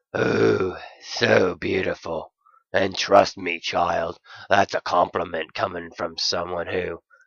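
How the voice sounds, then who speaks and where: A gruff, put-on character voice delivers the lines at a fairly slow pace. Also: man, very deep, low pitch for a man. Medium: read story.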